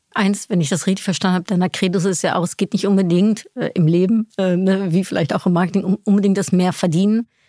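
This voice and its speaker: At a very fast pace, a woman speaks at a medium pitch with a dark, mellow tone and fairly even intonation. The sound is dry and close with no echo, in a very clean recording with a silent background. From Netherlands. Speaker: podcast host. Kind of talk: interview.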